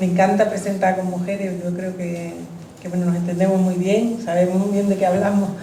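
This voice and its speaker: Over noticeable background noise and audible room echo, a woman talks with monotone, flat intonation. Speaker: author presenting her book. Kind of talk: book presentation talk. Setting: public event with audience. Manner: soft-spoken. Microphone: uses a microphone because she speaks quietly.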